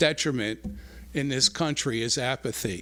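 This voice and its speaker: Vocal fry in a medium-pitched male voice, plus ordinary pitch variation. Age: 70s. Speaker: resident speaking at public comment. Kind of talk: public comment at township meeting. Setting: township board meeting hall with audience. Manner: halting, many fillers and repeats.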